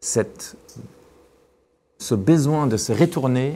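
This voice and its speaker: A man talks with a non-native accent. His intonation is lively. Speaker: neuroscientist and physician, seminar speaker. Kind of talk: academic talk. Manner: hesitant, many repetitions and fillers.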